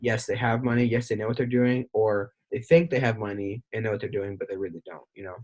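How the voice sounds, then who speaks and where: Somewhat breathy speech runs at a fairly quick pace with hardly any pauses, ordinary pitch variation and big swings in loudness. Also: man, medium pitch for a man. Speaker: podcast host, former salesperson. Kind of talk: casual interview chat. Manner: fast.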